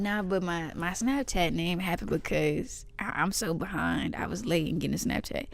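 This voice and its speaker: A woman with an American accent talks at a moderate pace with hardly any pauses, and the room echo is audible. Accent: slight country. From East Texas. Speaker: podcast co-host, pre-med student. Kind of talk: casual chat. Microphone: poor audio quality.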